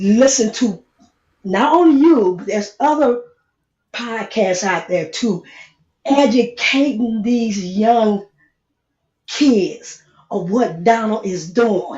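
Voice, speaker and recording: A woman's fairly high, somewhat breathy voice, very slow with long, frequent pauses and lively intonation. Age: 60s. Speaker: caller. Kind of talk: casual chat.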